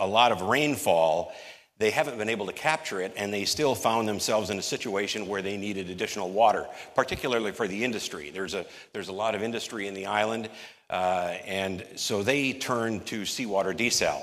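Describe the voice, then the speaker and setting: A man talks fairly quickly, his pitch varying in an ordinary way, with a quiet background behind him. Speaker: conference panel moderator presenting slides. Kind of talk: conference presentation. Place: hall. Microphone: podium.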